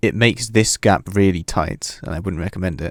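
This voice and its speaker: Speaking with a British accent at a fairly quick pace, a man comes through on a very clean recording with a silent background and a dry, close sound with no echo. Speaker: video game tutorial maker. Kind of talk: gameplay tutorial commentary.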